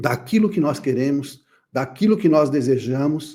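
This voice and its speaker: Dark and mellow in tone, a man's voice moves at a fairly slow pace. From Brazil, São Paulo. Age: 60s. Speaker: therapist and speaker. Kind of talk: conference talk.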